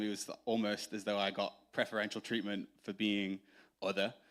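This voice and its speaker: A man with an English accent at a fairly quick pace, on a very clean recording with a silent background. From northern England, Doncaster, Yorkshire. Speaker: church member. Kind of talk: testimony. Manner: halting, many fillers.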